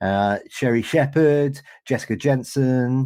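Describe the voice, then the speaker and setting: With a British accent and lively intonation, a man talks on a very clean recording against a silent background. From Britain. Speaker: podcast host. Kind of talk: interview. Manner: animated.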